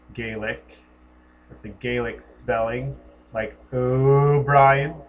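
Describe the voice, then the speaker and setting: Speaking at a very slow pace with fairly even intonation, a man with an American accent and a medium-pitched voice is heard in a room with audible echo. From US Northeast, Connecticut. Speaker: spiritual commentator. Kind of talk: personal monologue.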